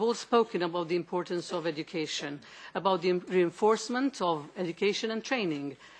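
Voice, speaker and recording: Speaking with a Maltese accent, a woman uses lively intonation at a fairly quick pace. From Malta. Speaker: member of European Parliament. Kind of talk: committee hearing question. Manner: halting. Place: meeting room. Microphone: podium.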